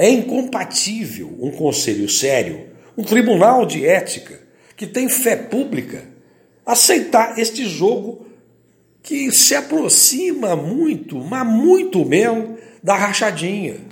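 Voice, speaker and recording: With audible room echo, a man speaks at a very slow pace in a high pitch, making very wide pitch swings. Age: 60s. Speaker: engineer running for council office. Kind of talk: campaign podcast monologue. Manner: animated.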